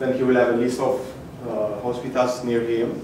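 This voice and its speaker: A man's medium-pitched voice amid noticeable background noise and audible room echo. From Ethiopia. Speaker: hackathon participant presenting his project. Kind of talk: project demo pitch. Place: hall. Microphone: camera far.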